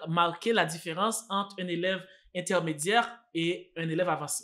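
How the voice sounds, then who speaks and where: In a Haitian accent, a man uses a raised, projected voice with a bright, sharp tone at a fairly slow pace. The recording is very clean, with a silent background. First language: Haitian Creole (speaking French). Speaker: French teacher. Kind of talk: tutorial. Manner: hesitant, many fillers and repeats.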